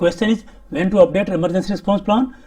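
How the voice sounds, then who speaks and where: Dark, mellow tone from a man. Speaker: safety training instructor. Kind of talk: lecture. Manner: fast.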